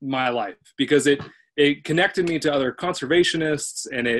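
With ordinary pitch variation, a man moves through his words at a fairly quick pace. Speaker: event host. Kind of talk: webinar hosting talk. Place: home room. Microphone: webcam.

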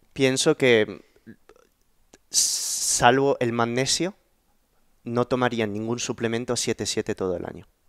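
Speaking at a very slow pace, this man leaves long, frequent pauses. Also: ordinary pitch variation, quiet background. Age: 30s. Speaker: YouTube podcast host; podcast host. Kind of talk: interview conversation. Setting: in person at home. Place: home room. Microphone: headset.

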